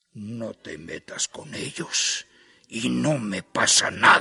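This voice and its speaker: In a growling, put-on character voice, a man speaks very slowly at a medium pitch with lively intonation, the sound dry and close with no echo. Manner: slow, measured, threatening.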